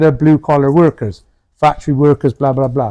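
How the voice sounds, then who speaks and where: Fairly high-pitched, a man speaks at a fairly quick pace in a dark, mellow tone, the sound dry and close with no echo. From United Kingdom. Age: 60s. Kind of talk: interview answer.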